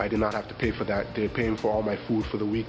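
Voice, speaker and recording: A man's very fast, fairly low-pitched, monotone and flat speech in a slight Nigerian accent, with music in the background. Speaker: poet. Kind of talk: interview. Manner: hesitant, with many fillers.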